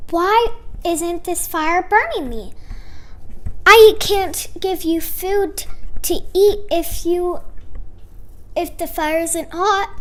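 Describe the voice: In a cartoonish character voice, a woman speaks at an extremely high pitch and very slow pace, with long, frequent pauses and light background noise.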